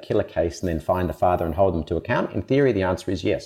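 A man is talking. His speech carries an Australian accent. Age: 50s. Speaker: humanitarian aid worker and advocate. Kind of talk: interview conversation. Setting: studio.

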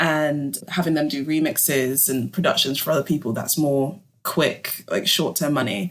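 A woman's very deep, low voice with a London accent, at a moderate pace and ordinary pitch variation. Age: 20s. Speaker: music industry artist manager. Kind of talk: podcast interview.

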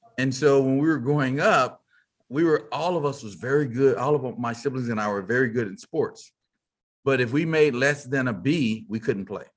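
With an American accent, a man speaks in an ordinary speaking voice at a medium pitch and moderate pace, with ordinary pitch variation over a quiet background. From Texas, Fort Worth. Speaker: business leader and keynote speaker. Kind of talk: interview.

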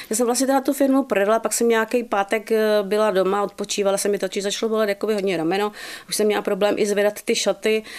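A woman at a very fast pace, with fairly even intonation and very even loudness. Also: medium pitch for a woman. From South Bohemia, Czech Republic. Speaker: former bridal salon owner. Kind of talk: radio interview. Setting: radio studio.

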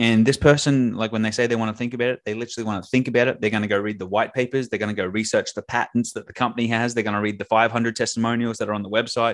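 In an Australian accent, a man talks at a very fast pace with hardly any pauses. His medium-pitched voice is monotone, with flat intonation. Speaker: sales communication specialist. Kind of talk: casual interview chat. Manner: casual, filler-heavy.

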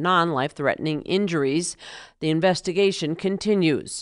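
Against a quiet background, a woman with a fairly low pitch and an ordinary speaking voice talks at a fairly quick pace. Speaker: radio news reporter. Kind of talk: newsreading. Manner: clear, measured, formal newscaster delivery.

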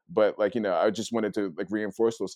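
In a New York accent, a man talks at a very fast pace with a fairly low pitch and a dark, mellow tone, the sound dry and close with no echo. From New York City (Queens). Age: 30s. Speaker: street photographer. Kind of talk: casual interview. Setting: video call. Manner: fast talker.

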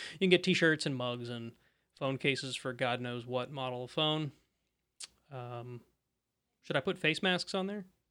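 With a bright, sharp tone and medium pitch, a man talks at a moderate pace with ordinary pitch variation, big swings in loudness and long, frequent pauses, captured in a very clean recording over a silent background. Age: 30s. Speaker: podcast host. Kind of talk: casual chat. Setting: live stream.

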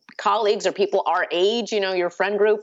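Speaking at a fairly quick pace, a woman with an American accent has a fairly high pitch. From US Midwest, Chicago suburbs (Batavia). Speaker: author. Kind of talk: casual chat.

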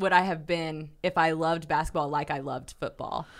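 A woman with an unremarkable speaking voice talks at a moderate pace and fairly low pitch on a very clean recording with a silent background. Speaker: podcast co-host. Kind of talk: casual chat. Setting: studio.

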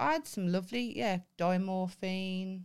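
In a Birmingham accent, a woman speaks at a moderate pace with a medium pitch and ordinary pitch variation. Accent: Birmingham (Brummie). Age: 30s. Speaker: podcast co-host. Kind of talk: casual chat. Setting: studio. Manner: animated.

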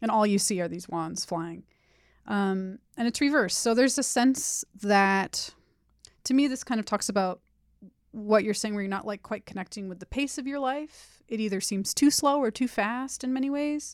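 A woman with an American accent and an ordinary speaking voice, fairly high in pitch with ordinary pitch variation, at a moderate pace, on a very clean recording with a silent background. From Los Angeles, San Fernando Valley. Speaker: podcast host and tarot reader. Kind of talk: tarot reading conversation.

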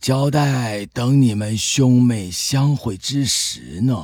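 Calm in tone, a man speaks at a medium pitch and a very slow pace. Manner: calm, sermonizing.

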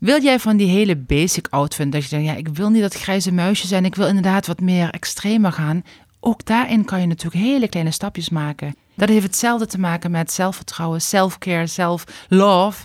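A woman's medium-pitched voice in a Limburg accent, at a fairly quick pace with ordinary pitch variation. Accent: Limburg accent, still clearly audible. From Limburg, Netherlands. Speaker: stylist and YouTuber. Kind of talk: casual interview chat.

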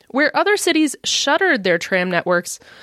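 A woman in a General American accent, with a dry, close sound and no echo. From US Midwest. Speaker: podcast host. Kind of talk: scripted narration.

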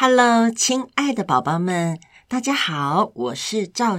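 Lively intonation in plain reading aloud.

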